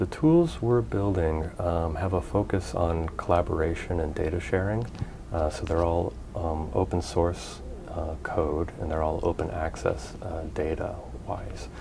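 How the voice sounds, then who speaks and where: Over noticeable background noise, a man with a very deep, low pitch speaks at a fairly slow pace, his pitch varying in an ordinary way. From California. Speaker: research scientist. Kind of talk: interview monologue. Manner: hesitant, many fillers. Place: office. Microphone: lapel.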